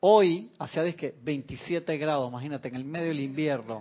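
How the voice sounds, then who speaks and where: Here a man sounds animated, with ordinary pitch variation. He keeps a moderate pace. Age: 40s. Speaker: spiritual teacher. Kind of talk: spiritual class. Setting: online radio and TV broadcast.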